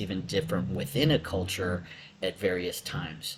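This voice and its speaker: Speaking with an American accent, a man sounds somewhat breathy. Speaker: lecturer. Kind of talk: lecture. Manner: hesitant, many fillers.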